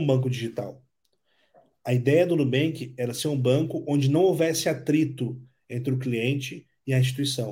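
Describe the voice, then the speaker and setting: The voice has a dark, mellow tone, somewhat breathy, moving at a moderate pace with audible room echo. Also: man. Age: 30s. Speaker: entrepreneur. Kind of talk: interview.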